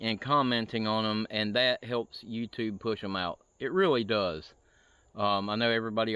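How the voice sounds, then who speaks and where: At a moderate pace, a man with fairly low pitch and fairly even intonation speaks in a dry sound with no echo. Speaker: camping vlogger. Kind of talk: casual vlog chat. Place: forest. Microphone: phone near.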